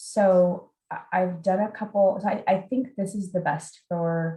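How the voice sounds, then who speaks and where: This woman's voice is medium in pitch, somewhat breathy, and dark and mellow in tone. Her intonation is fairly even. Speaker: psychologist presenter. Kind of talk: webinar presentation. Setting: video call.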